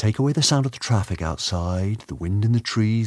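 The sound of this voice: This is an unforced reading voice. The delivery stays unforced throughout.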